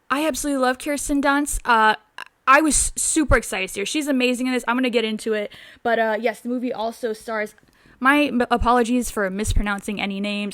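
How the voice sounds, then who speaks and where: The voice has an animated tone and a fairly quick pace on a very clean recording with a silent background. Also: woman. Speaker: film reviewer youtuber. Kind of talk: casual movie review vlog. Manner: animated, many fillers.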